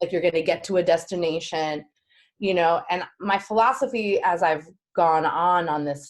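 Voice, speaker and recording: A woman with an unremarkable speaking voice and an American accent, fairly low pitch, ordinary pitch variation and a moderate pace. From New York. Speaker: performing artist and actress. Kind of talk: interview answer.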